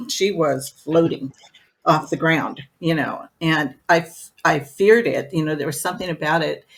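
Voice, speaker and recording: A woman with a very deep, low pitch talks at a fairly slow pace with ordinary pitch variation. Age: 70s. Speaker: psychic medium. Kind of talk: interview.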